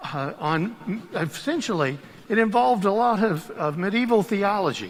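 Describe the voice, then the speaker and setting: A man with a high-pitched voice speaks with lively intonation amid audible room echo. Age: 60s. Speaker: deacon. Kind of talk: sermon. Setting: church.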